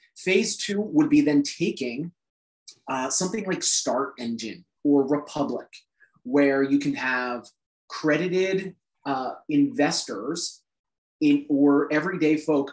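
The voice moves at a very slow pace with ordinary pitch variation, and audible room echo surrounds it. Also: man. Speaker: startup founder; presenter. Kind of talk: proposal presentation. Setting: video call. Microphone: video call.

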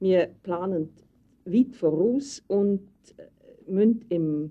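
Fairly low woman's voice, its pitch moving in an ordinary way. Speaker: women's magazine editor-in-chief. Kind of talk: 1965 documentary film narration, describing her job. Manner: brisk, lively, rattling off lists.

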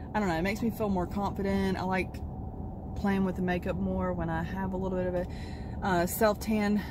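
A woman talks at a moderate pace. The sound is dry with no echo, over noticeable background noise. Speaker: vlogger. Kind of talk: casual vlog chat. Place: car. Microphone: phone near.

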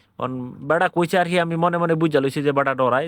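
An animated tone over a quiet background. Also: man. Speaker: driver and video vlogger. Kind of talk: casual travel vlog narration.

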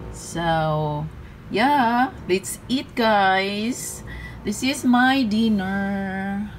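Music plays behind a woman as she talks. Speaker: vlogger. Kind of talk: casual vlog chat. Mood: cheerful, laughing. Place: home room. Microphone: phone near.

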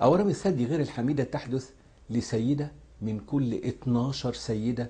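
This man has a dark, mellow tone that is somewhat breathy. He speaks with an Egyptian accent and ordinary pitch variation. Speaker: cancer surgeon. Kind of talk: health education talk. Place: office.

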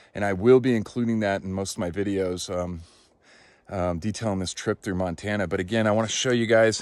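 Against a quiet background, a man with an unremarkable speaking voice talks at a fairly quick pace and fairly low pitch, with ordinary pitch variation and a dry sound with no echo. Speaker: travel vlogger exploring ancient sites. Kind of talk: casual vlog chat. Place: forest. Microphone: phone near.

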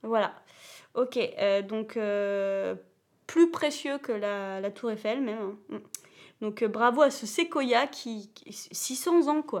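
Speaking very slowly with long, frequent pauses, a woman uses a fairly high pitch, lively intonation and big swings in loudness against a quiet background. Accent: slight southern French. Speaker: children's channel host. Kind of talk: live-stream quiz chat. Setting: at home on a sofa. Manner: animated; hesitant, many fillers. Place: home room.

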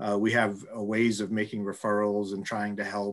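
The background is quiet. A man talks with a fairly low pitch. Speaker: school administrator. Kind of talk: formal meeting. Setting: video call. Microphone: video call.

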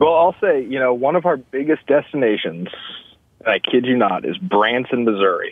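Over a quiet background, a man with an ordinary speaking voice talks at a moderate pace and medium pitch. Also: dry sound with no echo. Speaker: timeshare salesman, caller. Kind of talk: casual chat. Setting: phone call. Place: studio.

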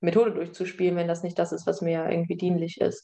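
This woman's voice sits at a medium pitch. Her tone is dark and mellow. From southwestern Germany. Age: 20s. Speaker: project coordinator. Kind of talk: presentation. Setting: video call.

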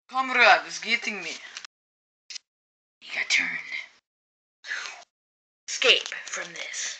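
In a cartoonish character voice, a female-sounding speaker uses a high pitch at a fairly slow pace, with long, frequent pauses.

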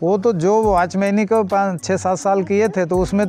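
Over faint music in the background, a man talks at a high pitch with ordinary pitch variation, and the sound is dry with no echo. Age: 60s. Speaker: milkman. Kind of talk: interview answer. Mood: calm, reflective. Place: farm machine. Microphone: lapel.

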